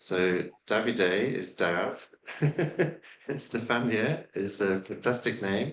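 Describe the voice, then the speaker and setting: A man speaks with an English accent. His intonation is lively. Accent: British (English). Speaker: scientist. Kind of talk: podcast interview. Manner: halting, many fillers.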